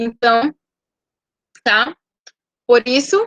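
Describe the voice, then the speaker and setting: A raised, projected voice with a bright, sharp tone at a very slow pace, in a dry, close sound with no echo. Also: woman. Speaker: nursing teacher. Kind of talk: online lecture.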